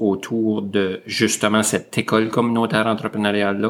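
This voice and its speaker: A fairly low-pitched man is heard on a very clean recording with a silent background. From northwestern New Brunswick, Canada (Saint-André, near Grand-Sault). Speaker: school district director. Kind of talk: interview.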